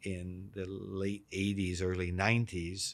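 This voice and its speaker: The speaker has a Canadian accent. The recording is very clean and the background silent. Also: man. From Canada, Vancouver. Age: 60s. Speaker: real estate executive. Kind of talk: interview. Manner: repetitive restarts.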